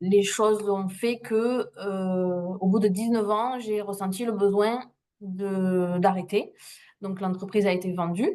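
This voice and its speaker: A woman speaks in a Toulouse accent at medium pitch. Her intonation is fairly even. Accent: southern French (Toulouse). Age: 40s. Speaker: trainee, former business owner. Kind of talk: testimony. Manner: hesitant, many fillers.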